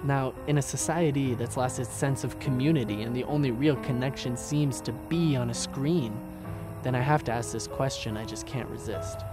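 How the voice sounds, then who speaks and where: Music in the background under a man speaking at medium pitch and a moderate pace. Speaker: spoken word poet. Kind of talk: spoken word poetry performance.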